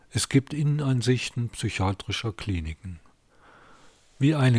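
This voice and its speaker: A man's somewhat breathy voice at a moderate pace, with ordinary pitch variation and a dry, close sound with no echo. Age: 50s. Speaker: podcaster and author, retired architect. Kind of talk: podcast introduction; reading aloud from his novel.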